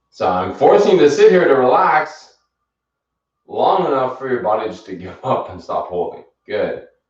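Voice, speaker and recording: A man speaks at a moderate pace in a calm tone, his loudness swinging widely, with audible room echo. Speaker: fitness instructor. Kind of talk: live exercise class instruction. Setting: livestream. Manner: encouraging, calm pacing; soft-spoken.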